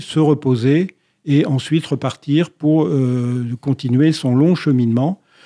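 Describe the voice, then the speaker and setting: In a dry, close recording with no echo and a quiet background, a man with a fairly high pitch and a dark, mellow tone speaks at a very slow pace with fairly even intonation. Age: 60s. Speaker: retired lawyer and race organizer. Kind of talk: radio interview.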